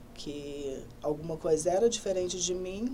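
A woman speaks at a fairly slow pace. Her voice carries audible room echo. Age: 20s. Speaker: hairdresser. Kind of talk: interview. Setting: studio.

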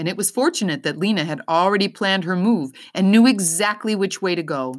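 The speaker gives a plain reading aloud, with ordinary pitch variation.

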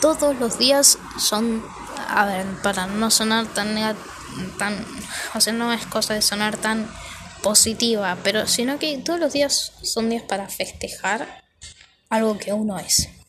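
Noticeable background noise sits under a woman speaking at a very slow pace and fairly high pitch, with ordinary pitch variation and long, frequent pauses. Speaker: podcaster. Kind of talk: casual monologue. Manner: halting.

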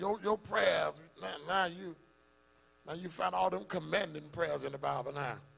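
A man talks in an animated tone. Noticeable background noise runs behind him. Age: 40s. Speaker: pastor. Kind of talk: sermon.

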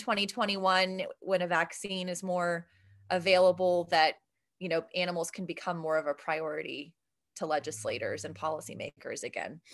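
A normal speaking voice with an American accent at a moderate pace. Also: woman. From Ohio, Steubenville. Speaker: math professor and nonprofit vice president. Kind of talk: podcast interview.

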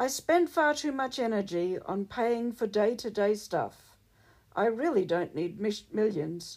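A woman speaks in an ordinary speaking voice at a medium pitch. Her pace is fairly slow, with lively intonation. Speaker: poet and author. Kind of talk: poetry reading, performed poem. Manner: rhythmic, steady sing-song cadence.

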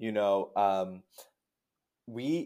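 The pitch varies in an ordinary way. The recording is very clean, with a silent background. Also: man. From New Jersey, US. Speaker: theologian and social justice practitioner. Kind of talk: podcast interview.

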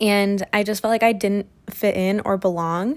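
A woman with a Midwestern US accent, medium in pitch and monotone, flat in intonation, on a very clean recording with a silent background. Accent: US Midwest. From rural Ohio. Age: 20s. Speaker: podcaster. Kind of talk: personal monologue.

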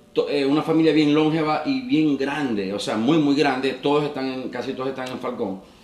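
A man's fairly high voice with ordinary pitch variation, at a fairly quick pace with hardly any pauses, amid noticeable background noise and audible room echo. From Venezuela, Maracaibo (Zulia). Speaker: entertainer and former radio presenter. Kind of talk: casual interview.

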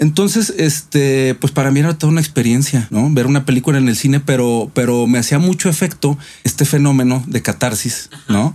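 A dark, mellow tone at a fairly quick pace, with ordinary pitch variation and hardly any pauses. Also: man, fairly high pitch for a man. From Mexico, Monterrey. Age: 40s. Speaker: actor. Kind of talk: interview, life story. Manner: hesitant, many fillers and repetitions.

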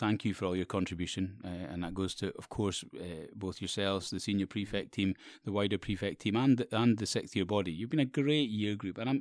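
In a very clean recording with a silent background, a man with a Scottish Borders accent talks at a fairly quick pace in a fairly low pitch. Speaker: school teacher or head. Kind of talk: casual interview. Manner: halting, repeats words.

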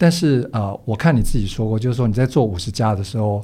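In a very clean recording with a silent background, a man speaks at a medium pitch with a dark, mellow tone and a somewhat breathy quality. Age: 60s. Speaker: podcast host. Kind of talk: interview.

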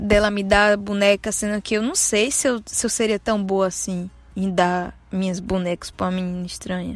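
This woman has a normal speaking voice at a medium pitch. She talks with hardly any pauses and fairly even intonation. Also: moderate pace. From Bahia, Brazil (Santo Antônio de Jesus). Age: 20s. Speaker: podcaster. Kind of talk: personal storytelling monologue. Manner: casual, conversational.

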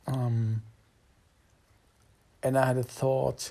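Very slowly and in a monotone, flat intonation, a man speaks in a dark, mellow tone. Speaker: job seeker. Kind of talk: voice memo diary. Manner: halting.

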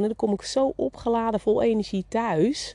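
At a fairly slow pace, a dark, mellow voice comes through in a dry, close recording with no echo. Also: woman. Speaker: business coach for beauty salon owners. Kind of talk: solo podcast monologue. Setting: outdoors in the garden.

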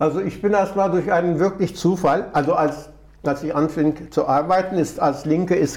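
A man with a Turkish accent talks at a moderate pace, fairly high in pitch for a man, with ordinary pitch variation. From Turkey, Istanbul. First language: Turkish (speaking German). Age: 70s. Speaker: retired trade union official and migrant advocate. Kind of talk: interview.

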